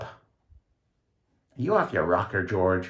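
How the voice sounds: Loud and very slow, a man uses a low-pitched put-on character voice full of big pitch swings.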